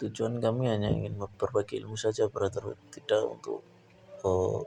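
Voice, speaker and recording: A man with a Javanese accent talks at a fairly quick pace. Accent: Javanese (medok) accent in Indonesian. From Java, Indonesia. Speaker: painting tutorial youtuber. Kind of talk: painting tutorial with casual chat. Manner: casual, hesitant with fillers.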